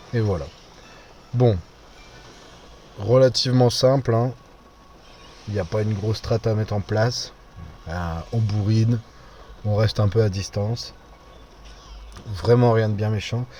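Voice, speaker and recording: In a northern French accent, a man speaks at a fairly low pitch. His pace is fairly slow, broken by long, frequent pauses. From northern France. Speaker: gaming YouTuber. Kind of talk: gameplay commentary. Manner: casual, hesitant with fillers.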